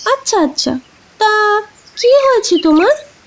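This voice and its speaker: The speaker uses a put-on character voice that is squeaky and extremely high in pitch. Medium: cartoon. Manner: lively, quick.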